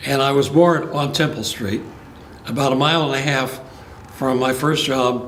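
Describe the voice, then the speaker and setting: Speaking at a moderate pace with long, frequent pauses, a man keeps a fairly even intonation at a fairly high pitch. Noticeable background noise and audible room echo fill the recording. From Los Angeles, California. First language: Spanish. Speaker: retired judge. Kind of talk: oral history interview. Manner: halting.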